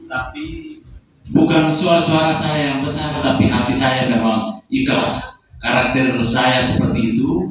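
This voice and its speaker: Over noticeable background noise and audible room echo, a man with a fairly high pitch speaks at a very slow pace with ordinary pitch variation. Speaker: workshop facilitator for teachers. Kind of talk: closing speech. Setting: workshop closing ceremony at a school.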